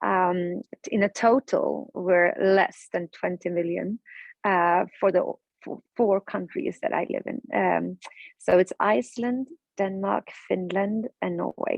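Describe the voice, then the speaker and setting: A woman with a Swedish accent at a very slow pace. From Sweden. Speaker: politician and webinar speaker. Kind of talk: webinar presentation. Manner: calm.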